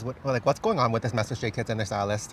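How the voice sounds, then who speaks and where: This man's voice is somewhat breathy. He talks very fast in an animated tone. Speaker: K-pop fashion content creator. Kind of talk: casual chat.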